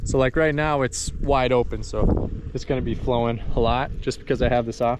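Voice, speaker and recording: A man at a medium pitch with fairly even intonation and a fairly quick pace, over noticeable background noise. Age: 20s. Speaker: rancher. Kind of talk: casual talk to camera. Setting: outdoors.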